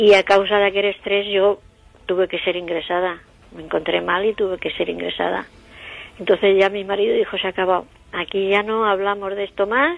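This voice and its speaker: A woman speaks at a fairly quick pace in a medium pitch, her intonation flat and monotone. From Spain, Murcia (Jumilla). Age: 70s. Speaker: eyewitness of a UFO encounter. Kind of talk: testimony.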